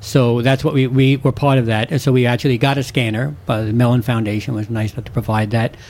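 With noticeable background noise, a man talks at a very fast pace with hardly any pauses, his medium pitch showing ordinary pitch variation. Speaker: herbarium supervisor. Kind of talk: casual radio interview, chatty expert explanation just before a break. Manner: animated, rambling, hesitant with fillers.

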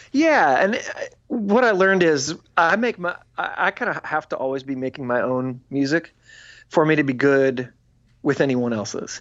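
A man's fairly high-pitched voice, an unremarkable speaking voice, at a moderate pace with lively intonation. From US Midwest, Illinois. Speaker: musician and record label executive. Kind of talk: casual interview chat. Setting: home studio, remote interview.

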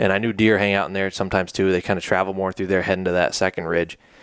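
A man's very deep, low voice in a flat, monotone delivery. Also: very clean recording, silent background. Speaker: podcast host. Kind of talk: casual chat. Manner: casual, jokey.

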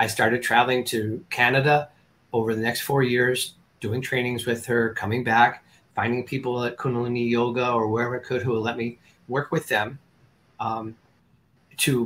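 Medium-pitched man at a moderate pace, monotone and flat in intonation. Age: 60s. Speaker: holistic energy healer. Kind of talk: interview. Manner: halting.

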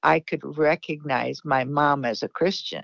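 Speaking at a very slow pace with a very deep, low pitch, a woman talks in a Midwestern American accent against a quiet background, the sound dry and close with no echo. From US Midwest, Davenport, Iowa. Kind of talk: interview.

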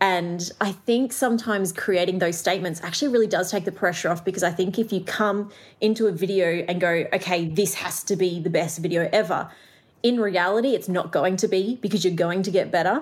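Pitch varies in an ordinary way as the speech runs at a fairly quick pace. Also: woman, medium pitch for a woman. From Australia, Melbourne. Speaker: artist and entrepreneur. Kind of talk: interview conversation. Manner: fast talker.

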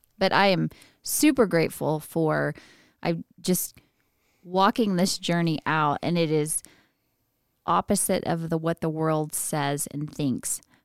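Speaking at a fairly slow pace with long, frequent pauses, a woman with a fairly low pitch and ordinary pitch variation is heard in a dry, close sound with no echo and a very clean recording with a silent background. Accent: Texan. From West Texas (Midland area). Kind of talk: casual chat.

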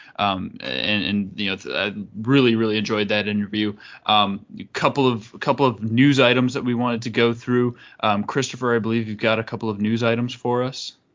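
At a fairly quick pace, a man with a normal speaking voice talks at a medium pitch with fairly even intonation. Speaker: podcast host. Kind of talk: casual chat.

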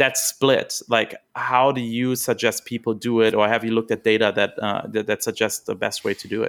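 A man with a German accent, monotone, flat intonation, a moderate pace and hardly any pauses, on a very clean recording with a silent background. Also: medium pitch for a man, dry, close sound with no echo. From Germany. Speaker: podcast host. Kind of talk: interview.

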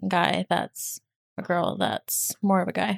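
On a very clean recording with a silent background, a woman with a plain, everyday voice talks at a moderate pace and a medium pitch, the sound dry and close with no echo. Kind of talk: casual chat. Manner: bantering, sarcastic.

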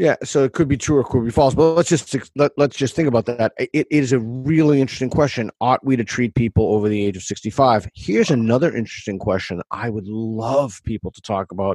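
In a plain, everyday voice, a man talks at a fairly quick pace with ordinary pitch variation and big swings in loudness, the sound dry and close with no echo. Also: medium pitch for a man, hardly any pauses. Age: 50s. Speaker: author and academic. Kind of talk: interview conversation.

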